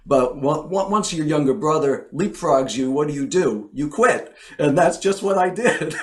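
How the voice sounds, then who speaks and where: A fairly high-pitched man at a moderate pace with lively intonation, against noticeable background noise. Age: 60s. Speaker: songwriter. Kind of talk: interview.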